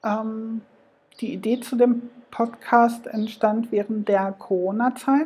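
The voice has a dark, mellow tone and is somewhat breathy. It moves at a very slow pace. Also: woman, fairly high pitch for a woman, fairly even intonation. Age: 40s. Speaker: podcast host. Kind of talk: solo podcast monologue.

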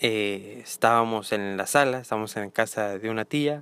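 A man with a plain, everyday voice speaks at a fairly slow pace in a medium pitch with fairly even intonation, sounding dry and close with no echo on a very clean recording with a silent background. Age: 20s. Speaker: marketing professional. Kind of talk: casual chat.

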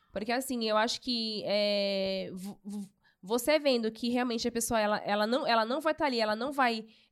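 Using an ordinary speaking voice, a woman talks at a fairly high pitch, her pitch variation ordinary. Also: moderate pace. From São Paulo, Brazil. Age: 30s. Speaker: church youth volunteer. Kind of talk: casual chat, testimony.

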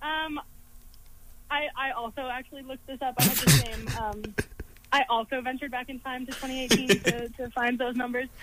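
A moderate pace broken by long, frequent pauses, over noticeable background noise. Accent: American. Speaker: college radio co-host. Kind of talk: casual chat. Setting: studio.

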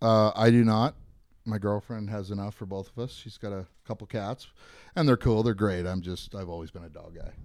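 Someone with a Western Canadian accent talks at a fairly quick pace with fairly even intonation and big swings in loudness on a very clean recording with a silent background. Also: man, fairly low pitch for a man. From Canada, Victoria BC. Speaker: golf equipment sales rep. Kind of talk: casual chat.

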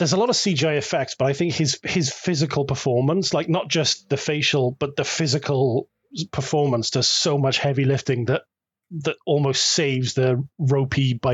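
This man's voice is fairly high and somewhat breathy, his pitch varying normally at a moderate pace. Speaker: podcast co-host. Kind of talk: casual chat.

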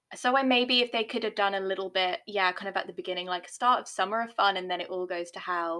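A woman's very fast, medium-pitched voice in a British accent, with hardly any pauses and ordinary pitch variation. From Britain. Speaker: podcast co-host. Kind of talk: casual chat.

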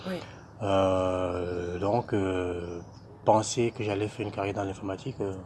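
A man speaks at a very slow pace and a very deep, low pitch. His voice is somewhat breathy, with fairly even intonation. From Cameroon. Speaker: SAP budget applications consultant. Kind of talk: interview. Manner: hesitant, many fillers.

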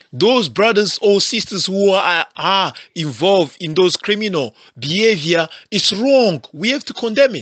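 A man's high-pitched, animated voice with lively intonation at a fairly slow pace over a quiet background. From South Africa, Congolese family. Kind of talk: impassioned appeal. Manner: animated, repetitive.

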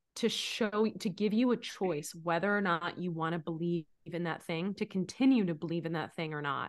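A woman with an ordinary speaking voice talks at a moderate pace against a quiet background. Her medium pitch shows ordinary variation. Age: 30s. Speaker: life coach. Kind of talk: casual chat.

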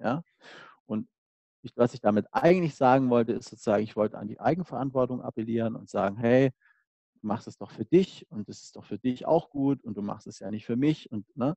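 A man's medium-pitched voice, dark and mellow in tone, at a fairly quick pace with ordinary pitch variation, big swings in loudness, and a dry, close sound with no echo. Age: 30s. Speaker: physiotherapist. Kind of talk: casual interview conversation.

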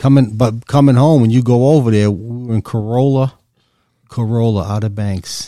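With a New York accent, a man speaks at medium pitch and a moderate pace. His tone is dark and mellow, his intonation fairly even. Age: 60s. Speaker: guest, father of co-guest. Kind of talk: casual chat.

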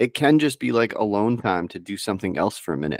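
In an unremarkable speaking voice, a man talks at a moderate pace with a fairly low pitch, in a very clean recording with a silent background and a dry, close sound with no echo. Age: 40s. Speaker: nutrition coach and stay-at-home dad. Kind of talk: casual chat.

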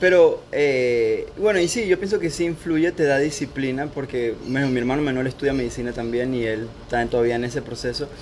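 A man's plain, everyday voice at medium pitch, fairly quick with hardly any pauses and ordinary pitch variation. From Panama (born in Costa Rica). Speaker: doctor training in internal medicine. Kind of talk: casual chat.

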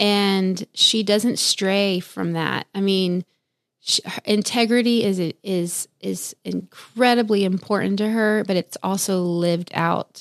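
A woman's medium-pitched voice with an American accent, very slow pace, fairly even intonation and a dry, close sound with no echo. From Texas, Houston. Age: 30s. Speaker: senior pastor. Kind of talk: casual chat.

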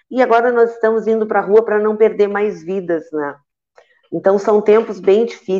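Delivery comes at a moderate pace. The tone is dark and mellow. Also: woman. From Santa Vitória do Palmar, Rio Grande do Sul, Brazil. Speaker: teacher and trade union director. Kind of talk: panel discussion on live web show.

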